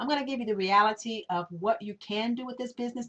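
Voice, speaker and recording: Words come at a very fast pace in a somewhat breathy voice. The pitch varies in an ordinary way. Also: woman. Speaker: online business presenter. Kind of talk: sales pitch. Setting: webinar.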